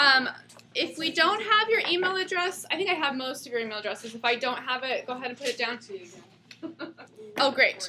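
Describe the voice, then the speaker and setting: A woman with a high voice speaks at a moderate pace with lively intonation. Her voice is raised and projected. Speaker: spiritual counselor teaching a class. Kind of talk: class lecture to small group. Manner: loud; casual, many fillers.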